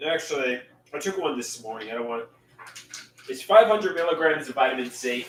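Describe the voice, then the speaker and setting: A fairly quick pace and lively intonation, with long, frequent pauses, big swings in loudness and noticeable background noise. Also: man, fairly high pitch for a man. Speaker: livestreamer. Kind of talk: casual live stream chat. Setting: live stream.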